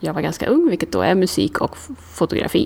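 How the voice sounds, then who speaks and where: With noticeable background noise behind her, a woman speaks at a fairly quick pace. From Sweden, Karlstad. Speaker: outdoor adventurer and photographer. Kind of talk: interview. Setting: recorded on location.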